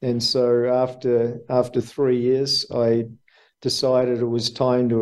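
This man speaks with an Australian accent at a medium pitch, in a monotone, flat intonation. His loudness stays very even and his pace is very slow. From Australia, Melbourne. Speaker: businessman, former school teacher. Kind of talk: interview.

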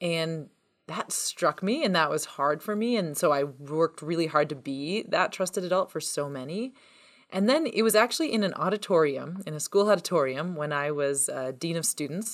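In a Canadian accent, this ordinary speaking voice moves at a moderate pace with lively intonation. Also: woman. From Ontario, Canada. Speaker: author and educator. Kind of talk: interview. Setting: remote call.

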